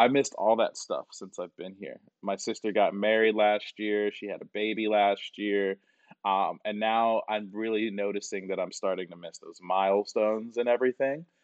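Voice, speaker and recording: An unremarkable speaking voice with an American accent keeps fairly even intonation at a moderate pace. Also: man, fairly low pitch for a man, big swings in loudness. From US, Atlanta area. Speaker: IT consultant. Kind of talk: casual interview chat.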